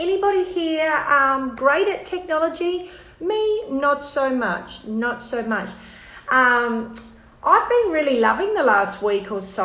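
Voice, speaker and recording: With an Australian accent, a woman speaks fairly slowly at a high pitch with very wide pitch swings, and room echo is audible. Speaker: live stream host. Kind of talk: casual chat.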